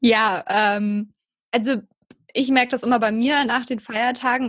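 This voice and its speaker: Speaking at a fairly slow pace, a woman uses a high pitch with fairly even intonation. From southern Germany, near Heidelberg. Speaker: personal trainer and yoga teacher. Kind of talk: casual interview.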